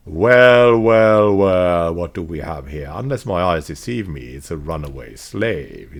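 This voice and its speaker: A hoarse, put-on character voice from a man, very deep and low, with very wide pitch swings, big swings in loudness, a fairly slow pace, and hardly any pauses. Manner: menacing, mocking.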